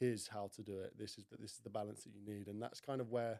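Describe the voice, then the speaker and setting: Talking at a very fast pace, a man has a medium pitch and a southern English accent. His tone is dark and mellow, and his intonation is monotone and flat. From Kent, southeast England. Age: 20s. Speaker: fitness coach, former rugby player. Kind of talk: casual chat.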